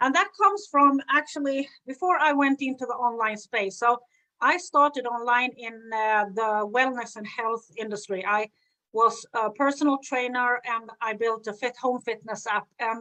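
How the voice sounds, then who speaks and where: With a Swedish accent, a woman talks at a moderate pace in a high pitch, her tone bright and sharp and her pitch variation ordinary. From Sweden. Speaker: business coach. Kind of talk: live stream talk. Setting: live video stream.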